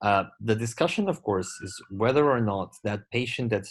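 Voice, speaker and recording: A man with a Portuguese accent speaks at a moderate pace and a medium pitch, with ordinary pitch variation over a quiet background. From Portugal. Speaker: glaucoma surgeon. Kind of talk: lecture. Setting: webinar.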